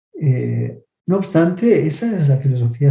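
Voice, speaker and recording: With an Argentine accent, this man's fairly high, somewhat breathy voice has a dark, mellow tone and lively intonation. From Argentina. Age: 50s. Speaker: film critic. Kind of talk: lecture on film theory.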